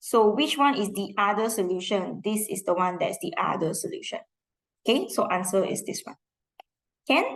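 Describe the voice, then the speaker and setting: With a Singaporean accent, a woman talks at a moderate pace in a fairly high pitch, her intonation lively. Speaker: school math teacher. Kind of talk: lesson revision for class.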